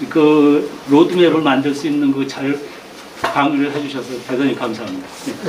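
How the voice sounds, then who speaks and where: A man's fairly high voice at a moderate pace with fairly even intonation, amid audible room echo and noticeable background noise. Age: 60s. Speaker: training graduate. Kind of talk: testimonial remarks at a training session.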